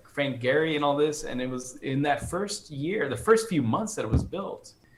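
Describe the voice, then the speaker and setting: A man speaks at a moderate pace in a fairly high pitch, his intonation lively, with noticeable background noise behind him. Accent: American. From United States, Colombian family. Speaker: orchestral percussionist. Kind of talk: casual interview chat.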